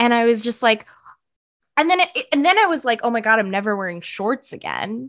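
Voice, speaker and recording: With an American accent and an unremarkable speaking voice, a woman talks at a fairly quick pace, her fairly high pitch carried by lively intonation. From US West Coast, San Francisco Bay Area. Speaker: podcast co-host. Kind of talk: casual chat. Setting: studio.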